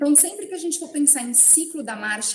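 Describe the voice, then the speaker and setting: A woman's pitch swings very widely as she speaks. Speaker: professor. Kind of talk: lecture.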